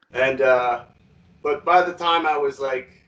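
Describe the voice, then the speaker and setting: A man with a Quebec accent speaks at a fairly slow pace. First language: French. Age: 30s. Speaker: metal musician. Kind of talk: interview. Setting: video call.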